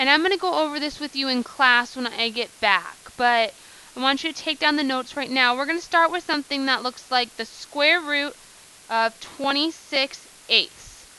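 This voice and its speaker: A woman's raised, projected voice, high in pitch, at a moderate pace with ordinary pitch variation. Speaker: math teacher. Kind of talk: classroom lesson explanation.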